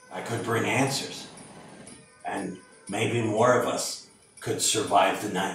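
In a put-on character voice, a man speaks at a fairly slow pace with a raspy medium pitch and a slight echo. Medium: stage.

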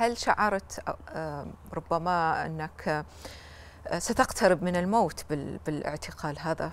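The speaker talks in a Libyan accent at a very slow pace with long, frequent pauses and ordinary pitch variation, in a dry sound with no echo. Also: woman, fairly low pitch for a woman. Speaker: TV talk show host. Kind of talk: TV interview; interview question. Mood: gentle, probing. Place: studio. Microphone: lapel.

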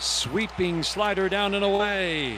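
A man speaks with a high pitch in an excited tone. The sound is dry with no echo, with light background noise. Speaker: radio baseball play-by-play announcer. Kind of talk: live sports radio play-by-play commentary. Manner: excited, building to a climactic call. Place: booth.

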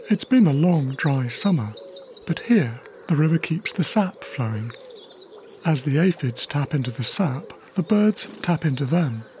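Noticeable background noise beneath fairly unhurried talking. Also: man, fairly high pitch for a man, lively intonation. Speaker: wildlife cameraman and narrator. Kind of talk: nature documentary narration, diary style. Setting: voiceover recorded narration. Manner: calm, reflective, measured; intimate, hushed, personal.

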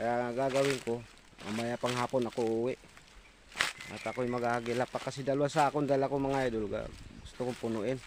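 Over noticeable background noise, a man speaks in a flat monotone at a fairly quick pace, with long, frequent pauses. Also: medium pitch for a man. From Philippines, Quezon province. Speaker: vlogger, stick gatherer. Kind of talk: vlog narration. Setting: outdoors.

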